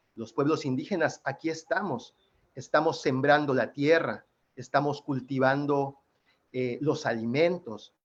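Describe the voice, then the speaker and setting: A man with a Yucatán accent, fairly high in pitch, with fairly even intonation. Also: fairly slow pace. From Yucatán, Mexico. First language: Yucatec Maya (speaking Spanish). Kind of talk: panel presentation.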